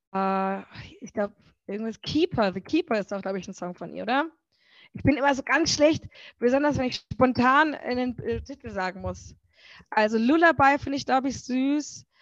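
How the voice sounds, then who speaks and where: Over a quiet background, a woman speaks at a moderate pace with lively intonation, her sound dry and close with no echo. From German village. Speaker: singer. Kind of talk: casual interview.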